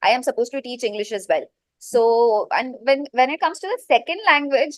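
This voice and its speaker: Someone speaks with a Gujarati accent against a quiet background. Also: woman. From India, Mumbai. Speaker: teacher-training student. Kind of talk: interview.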